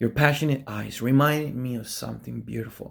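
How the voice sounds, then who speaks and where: Recorded very cleanly against a silent background, a man with an Argentine accent speaks in an animated tone. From Argentina. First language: Spanish. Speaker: preacher. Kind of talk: sermon.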